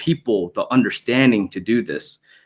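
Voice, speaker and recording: A man with a Thai accent speaks at a moderate pace, recorded very cleanly against a silent background with a dry, close sound and no echo. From Thai background. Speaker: military public affairs media liaison. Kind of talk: conference presentation. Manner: halting, many fillers and repetitions.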